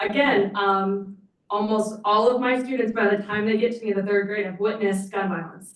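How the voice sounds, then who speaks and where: Audible room echo colors the fairly high-pitched voice of a woman. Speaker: nonprofit program director. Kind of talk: public comment at board meeting. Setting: meeting room podium microphone. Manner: loud.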